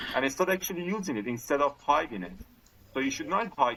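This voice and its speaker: A man with a non-native accent speaks in a fairly high pitch with very wide pitch swings, amid noticeable background noise. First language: not English. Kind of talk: casual chat. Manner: halting.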